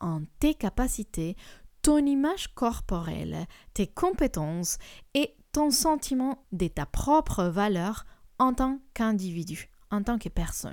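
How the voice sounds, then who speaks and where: A woman speaks very slowly in a fairly high voice with very wide pitch swings, on a very clean recording with a silent background. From Colombia. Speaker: life coach, podcast host. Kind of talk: solo podcast talk on personal development.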